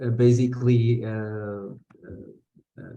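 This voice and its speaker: In a Portuguese accent, a man speaks very slowly in a dark, mellow tone with monotone, flat intonation. His voice carries audible room echo. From Portugal. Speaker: activist. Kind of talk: conference talk. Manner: halting, many fillers and repetitions.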